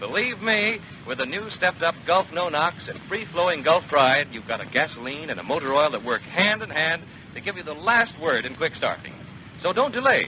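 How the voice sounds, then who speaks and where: Over noticeable background noise, a man speaks at a fairly quick pace with a high pitch and very wide pitch swings. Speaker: radio commercial announcer. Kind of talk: 1940s radio commercial read.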